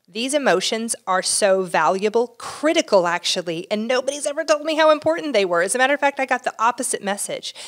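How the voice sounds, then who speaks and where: At a very fast pace with hardly any pauses, a woman speaks at a high pitch with very wide pitch swings, in a dry, close sound with no echo. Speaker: marriage and family therapist, relationship podcast co-host. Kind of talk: casual chat about relationships. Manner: fast talker.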